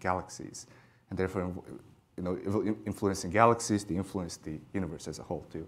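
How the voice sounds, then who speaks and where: Speaking very fast, a man uses a fairly low pitch with ordinary pitch variation. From Mongolia. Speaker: astrophysics PhD student. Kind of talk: lecture. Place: hall. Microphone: lapel.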